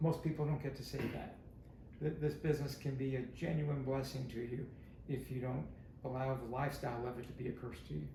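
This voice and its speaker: There is audible room echo as a man speaks at a fairly quick pace. His intonation is monotone and flat. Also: medium pitch for a man. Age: 70s. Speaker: stand-up comedian. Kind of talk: podcast interview.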